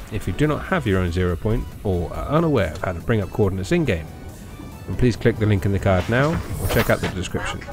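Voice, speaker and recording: A fairly low-pitched man with a British accent, fairly quick pace and lively intonation, with music in the background. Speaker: gaming YouTuber. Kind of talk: game guide narration.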